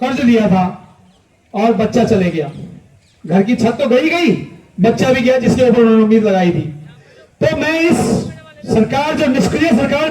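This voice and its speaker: A man's moderately paced speech carries an audible echo from the room. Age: 60s. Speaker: retired army officer and activist. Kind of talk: protest speech. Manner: impassioned.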